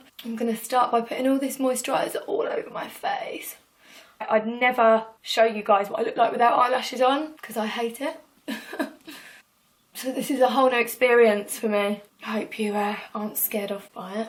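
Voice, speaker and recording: Her voice is high in pitch, with ordinary pitch variation. The woman has an English accent. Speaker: singer and beauty vlogger. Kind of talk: tutorial. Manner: chatty, fast.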